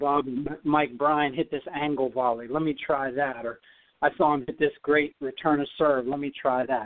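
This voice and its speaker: With an ordinary speaking voice, a man talks at a moderate pace, his fairly high pitch held in fairly even intonation. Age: 40s. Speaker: former tennis player training for a comeback. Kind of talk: radio interview.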